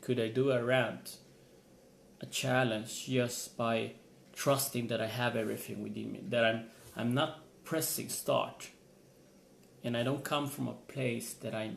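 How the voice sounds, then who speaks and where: Medium-pitched male speech with a non-native accent, moderate pace, fairly even intonation, long and frequent pauses, and audible room echo. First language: not English. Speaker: motivational vlogger. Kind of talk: motivational vlog monologue. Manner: halting, repeats words.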